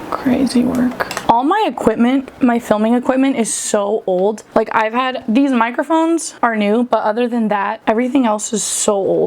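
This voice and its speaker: Through noticeable background noise, a high-pitched woman with an American accent talks with hardly any pauses and ordinary pitch variation. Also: moderate pace. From Southern California. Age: 30s. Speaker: vlogger. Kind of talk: casual chat. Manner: casual, filler-heavy.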